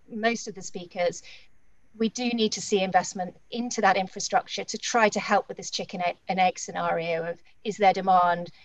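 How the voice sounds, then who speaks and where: At a moderate pace, a woman with a medium pitch speaks with fairly even intonation and a dry sound with no echo. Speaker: investment strategist; panelist. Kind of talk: panel discussion. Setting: video call. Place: home room. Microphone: webcam.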